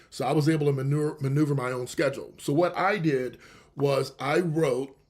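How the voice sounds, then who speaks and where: Fairly high-pitched and somewhat breathy speech from a man. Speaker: radio show host and author. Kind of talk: radio show monologue. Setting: live internet radio show. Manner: fast.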